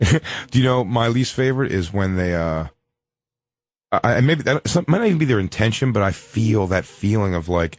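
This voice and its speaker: Lively in intonation, a man with a Philadelphia accent speaks at a moderate pace in a fairly low voice. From US Northeast, Philadelphia. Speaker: comedian. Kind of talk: casual chat.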